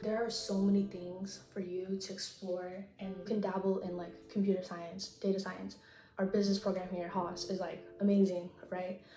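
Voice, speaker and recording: Soft-spoken and monotone with flat intonation, a woman at medium pitch is heard with audible room echo and noticeable background noise. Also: moderate pace. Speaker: college student and YouTuber. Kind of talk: casual chat. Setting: apartment with roommates. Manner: soft-spoken, talking quietly. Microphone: bad audio quality, quiet.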